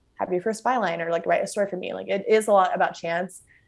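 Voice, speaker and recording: A woman speaks with a Southern Californian accent. Her pace is very fast. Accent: Southern California American. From Los Angeles, California. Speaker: food writer. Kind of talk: casual interview chat. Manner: fast talker, chaotic.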